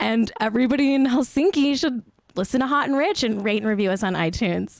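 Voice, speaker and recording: A high-pitched woman with a Southern California accent talks at a very fast pace in an animated tone, with lively intonation and very even loudness. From Pennsylvania, Scranton. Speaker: podcast host. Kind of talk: casual chat. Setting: video call from home.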